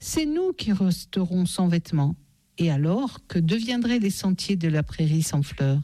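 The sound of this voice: Lively intonation marks an unforced reading voice.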